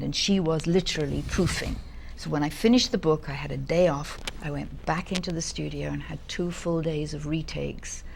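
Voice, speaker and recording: A woman speaks fairly quickly while noticeable noise runs in the background. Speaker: audiobook narrator. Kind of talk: interview answer.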